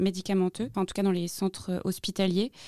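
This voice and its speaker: In a dry, close sound with no echo, a woman's dark, mellow tone sits at a medium pitch. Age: 20s. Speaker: podcast host. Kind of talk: interview. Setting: studio.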